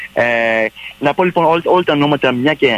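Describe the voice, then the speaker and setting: A man talks with lively intonation at a moderate pace, in a normal speaking voice. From Montreal, Canada. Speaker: theatre director. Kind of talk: radio interview.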